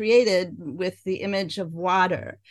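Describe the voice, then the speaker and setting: Against a quiet background, a woman talks at a very slow pace in a medium pitch. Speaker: co-host. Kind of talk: interview, casual chat. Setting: video call.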